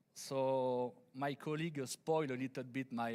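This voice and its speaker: A man speaks with a French accent. His pitch is medium, and his pace is fairly slow. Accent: French accent, noticeable. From France. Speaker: engineer, conference speaker. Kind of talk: conference presentation. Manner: halting, many fillers; deliberately slow.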